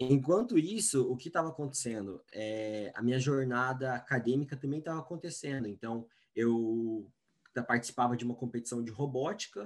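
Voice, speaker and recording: A man with an unremarkable speaking voice, medium pitch and ordinary pitch variation at a moderate pace, on a very clean recording with a silent background. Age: 20s. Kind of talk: interview.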